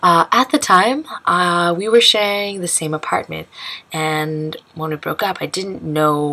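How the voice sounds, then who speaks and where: With an American accent, a woman is talking. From United States. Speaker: expat sharing her story. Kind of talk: casual talk to camera. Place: home room. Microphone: webcam.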